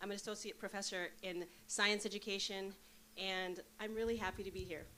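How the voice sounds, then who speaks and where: Loud and fast-ish, a woman speaks at a fairly quick pace in a bright, sharp tone, medium pitch and monotone, flat intonation. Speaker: associate professor. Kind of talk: conference presentation.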